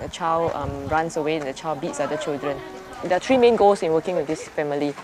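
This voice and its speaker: Over crowd noise in the background, a woman speaks very fast in a fairly low pitch with ordinary pitch variation. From Singapore. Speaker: social worker. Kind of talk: interview answer.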